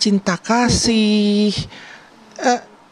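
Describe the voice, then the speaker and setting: Noticeable background noise surrounds a woman's fairly high-pitched voice, recorded dry and close with no echo. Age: 60s. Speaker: family member of the deceased. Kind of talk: TV interview. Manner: halting.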